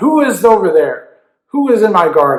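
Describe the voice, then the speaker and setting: A man does a put-on character voice, raspy and at an extremely high pitch. He keeps a moderate pace. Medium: read story.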